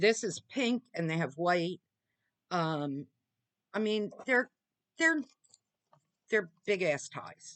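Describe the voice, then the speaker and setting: A woman speaks at a very slow pace with long, frequent pauses, her voice sounding dry and close with no echo. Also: medium pitch for a woman, lively intonation. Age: 60s. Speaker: beauty subscription box reviewer. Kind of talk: product unboxing review. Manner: halting, many fillers.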